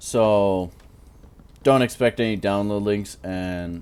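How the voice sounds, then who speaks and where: A man speaks with fairly low pitch and fairly even intonation. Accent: American. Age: 20s. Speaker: gaming YouTuber. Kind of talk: casual commentary while gaming. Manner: rambling, halting.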